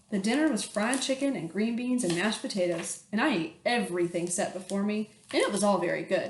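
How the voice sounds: What we hear is a natural reading voice.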